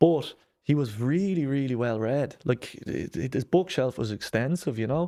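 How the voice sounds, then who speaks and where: The speaker talks at a moderate pace with a Dublin accent. Their intonation is lively. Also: man, medium pitch for a man. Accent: Dublin Irish. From Ireland, Dublin (Lucan). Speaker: breath work and mindset coach. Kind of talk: podcast interview.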